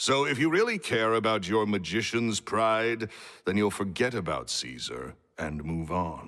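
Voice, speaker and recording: A booming man's voice with a bright, sharp tone, fairly low pitch and lively intonation moves at a fairly slow pace. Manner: curt, dismissive.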